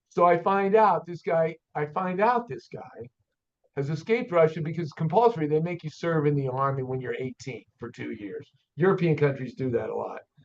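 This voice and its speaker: Lively intonation at a moderate pace from a man with a fairly high pitch. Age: 60s. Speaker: auto shop owner and mechanic. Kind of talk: podcast interview storytelling. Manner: animated.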